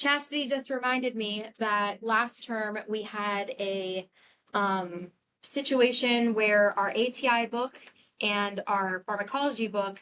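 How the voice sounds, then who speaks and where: Speaking fairly slowly, a woman with a normal speaking voice uses a fairly high pitch with ordinary pitch variation. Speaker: nursing instructor. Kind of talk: lecture.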